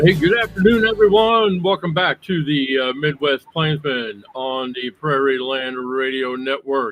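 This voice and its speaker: An unremarkable speaking voice from a man, fairly high in pitch with lively intonation, at a fairly slow pace with hardly any pauses. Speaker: radio show host. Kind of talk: radio interview hosting.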